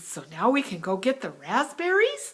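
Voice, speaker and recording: A woman speaks at a moderate pace in a put-on character voice pitched high. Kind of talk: children's story voice. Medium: read story.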